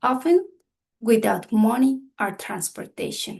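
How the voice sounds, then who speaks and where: Fairly slow, somewhat breathy speech from a woman. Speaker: community health trainer. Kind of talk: training workshop. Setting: video call. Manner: halting.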